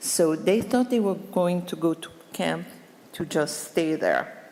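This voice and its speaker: Her voice is fairly low in pitch for a woman. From France. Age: 80s+. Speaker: Holocaust survivor. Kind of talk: testimony. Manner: halting.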